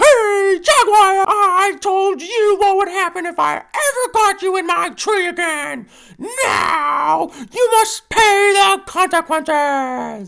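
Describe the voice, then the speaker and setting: The speaker uses a put-on character voice at an extremely high pitch. The pace is fairly slow. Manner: threatening, vengeful.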